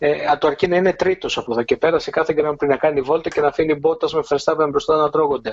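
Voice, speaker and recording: A man talks at a very fast pace with hardly any pauses, his pitch fairly high and intonation fairly even. The sound is dry and close, with no echo. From Greece. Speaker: Formula 1 journalist. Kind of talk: casual chat.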